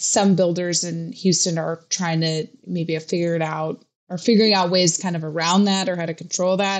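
With an American accent, a woman uses an ordinary speaking voice with a fairly low pitch. Her intonation is fairly even and her pace moderate. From US Pacific Northwest. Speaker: real estate reporter. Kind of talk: casual chat.

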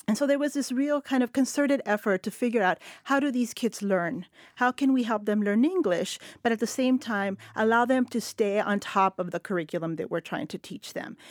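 Speaking in a Spanish accent, a woman uses lively intonation at a fairly high pitch and a fairly quick pace. The recording is very clean and silent behind her, dry and close with no echo. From El Paso, West Texas. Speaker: literature professor. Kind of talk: roundtable discussion. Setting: studio.

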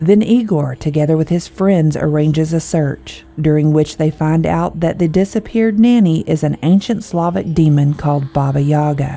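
A woman with a very deep, low voice speaks in a dramatic tone at a moderate pace, hardly pausing, over noticeable background noise. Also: ordinary pitch variation. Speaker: podcast narrator. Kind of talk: scripted horror storytelling narration. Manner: dramatic, suspenseful, measured.

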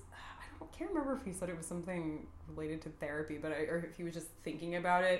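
A woman's fairly low voice in an American accent at a very fast pace, with audible room echo. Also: ordinary pitch variation, hardly any pauses. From San Antonio, Texas. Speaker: marketing professional. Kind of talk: casual chat.

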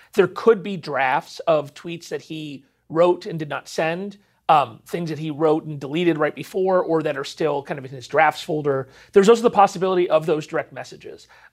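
At a moderate pace, a man speaks in an ordinary speaking voice, fairly high in pitch with ordinary variation and big swings in loudness, in a very clean recording with a silent background. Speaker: cybersecurity expert. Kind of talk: TV news interview.

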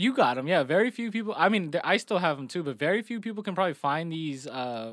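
In a very clean recording with a silent background, a man speaks at a high pitch and fairly quick pace with lively intonation. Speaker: podcast co-host. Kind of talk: casual chat. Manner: animated.

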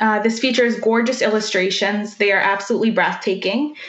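A plain, everyday voice from a woman with a Canadian accent, fairly high in pitch, at a fairly quick pace with ordinary pitch variation. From Manitoba, Canada (First Nation). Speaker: book content creator. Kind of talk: book review.

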